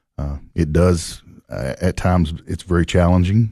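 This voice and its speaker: Against a quiet background, a dark, mellow voice with a Tennessee accent moves at a moderate pace with ordinary pitch variation. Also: man. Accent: Southern US (Tennessee). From Tennessee, Clay County. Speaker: county sheriff. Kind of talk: radio interview. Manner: halting.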